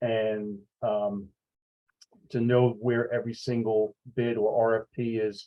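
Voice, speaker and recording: Pausing long and often, a man with a New York accent talks at a fairly slow pace in a medium-pitched voice with monotone, flat intonation. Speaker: sales executive. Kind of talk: webinar presentation. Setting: video call. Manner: halting, many fillers.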